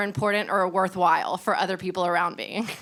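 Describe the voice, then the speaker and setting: Speaking with an American accent is a woman. Her delivery comes at a very fast pace. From Memphis, Tennessee (US South). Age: 20s. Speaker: stand-up comedian. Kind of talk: casual podcast interview. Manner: hesitant, with fillers and repeats.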